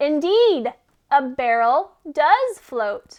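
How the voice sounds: A woman's put-on character voice, high in pitch, with big pitch swings at a very slow pace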